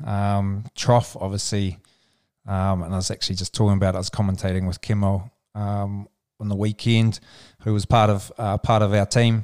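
Monotone, flat intonation comes at a moderate pace in a dry, close sound with no echo, on a very clean recording with a silent background. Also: man, fairly low pitch for a man. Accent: New Zealand. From New Zealand, Central Otago. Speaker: touch sport administrator and former player. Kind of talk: podcast interview.

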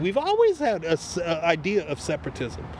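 Against noticeable background noise, a man speaks with an American accent. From US South, Wilmington, North Carolina. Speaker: army veteran and divinity student. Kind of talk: casual conversation. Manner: halting with many repetitions.

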